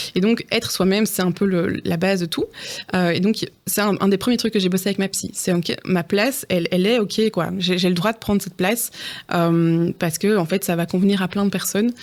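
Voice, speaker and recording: At a fairly quick pace, a woman speaks with medium pitch and fairly even intonation. Her recording is very clean with a silent background. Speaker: neuropsychologist. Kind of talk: interview. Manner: fast; loud, very expressive.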